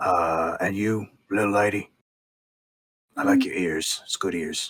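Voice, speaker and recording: Using a put-on character voice, a man talks at a fairly slow pace with a raspy, fairly low-pitched sound. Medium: actual play. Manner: casual, chatty.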